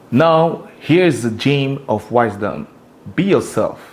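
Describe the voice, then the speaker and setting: With a French accent, a man at medium pitch talks in lively intonation. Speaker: YouTube content creator. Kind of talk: scripted narration.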